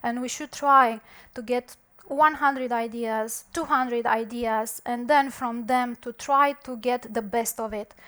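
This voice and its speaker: A woman speaks in a high pitch with fairly even intonation and big swings in loudness. The recording is very clean, with a silent background. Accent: non-native. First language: not English. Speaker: conference speaker, software developer. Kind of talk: conference talk. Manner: halting, with fillers.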